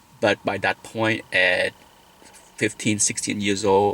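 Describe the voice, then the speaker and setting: A man with a Vietnamese accent at a fairly slow pace. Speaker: vlogger. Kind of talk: personal vlog talk.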